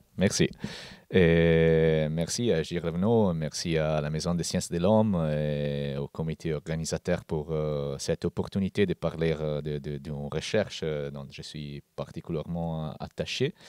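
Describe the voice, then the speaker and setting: A man with an Italian accent, very deep and low pitch, fairly even intonation, fairly slow pace, dry, close sound with no echo. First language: Italian (speaking French). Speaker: anthropologist. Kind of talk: conference talk. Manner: hesitant.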